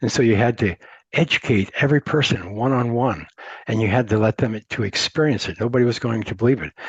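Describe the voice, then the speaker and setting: Against a quiet background, a man with a somewhat breathy voice speaks at medium pitch and moderate pace with ordinary pitch variation. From Montana, US. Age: 70s. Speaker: entrepreneur. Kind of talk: interview. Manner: halting, many repeated words.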